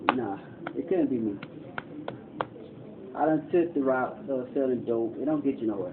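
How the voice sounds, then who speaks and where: A soft-spoken man at a moderate pace, ordinary pitch variation, long, frequent pauses and noticeable background noise. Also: medium pitch for a man. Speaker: homeless man telling his life story. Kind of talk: casual monologue, documentary.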